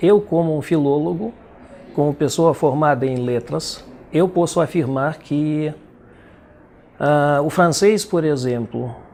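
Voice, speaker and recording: Words come at a fairly slow pace in a Russian accent. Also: man. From Belarus. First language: Russian (speaking Portuguese). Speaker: poet and translator. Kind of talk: interview.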